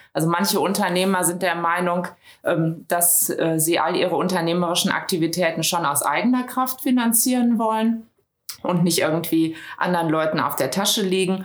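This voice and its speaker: Fairly low in pitch, a woman speaks at very even loudness, with audible room echo. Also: ordinary pitch variation, moderate pace. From Düsseldorf, western Germany. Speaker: business consultant. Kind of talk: interview. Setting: studio, in person.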